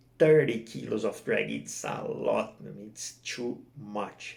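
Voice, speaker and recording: The man has a non-native accent. He speaks at a very slow pace. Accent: non-native English speaker. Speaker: kingfish jigging angler. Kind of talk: fishing gear tutorial to camera. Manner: casual, hesitant.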